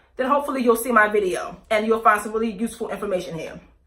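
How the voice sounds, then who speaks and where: Over noticeable background noise, a woman talks at a very fast pace. Her intonation is fairly even. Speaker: YouTuber, aspiring actress and model. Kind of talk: casual vlog review. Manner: halting, with many self-corrections and fillers.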